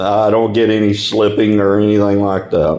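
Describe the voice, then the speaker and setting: A man with an East Texas accent speaks at a medium pitch and a fairly slow pace. Audible echo fills the room. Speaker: hobbyist video maker. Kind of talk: tutorial. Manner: casual, halting with repeated words.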